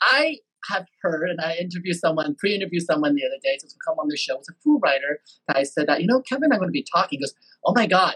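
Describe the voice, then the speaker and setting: A man with a Taiwanese accent talks at a very fast pace, his pitch swinging very widely and his loudness rising and falling a lot. The sound is dry and close with no echo. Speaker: podcast host. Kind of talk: interview. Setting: video call.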